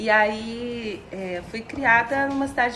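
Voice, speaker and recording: A woman speaks with a Minas Gerais accent. Noticeable background noise runs behind her. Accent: sounds like a Minas Gerais. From Brazil, interior of Rio state near Minas Gerais. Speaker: psychologist and singer-songwriter. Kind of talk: podcast interview. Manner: hesitant, many fillers.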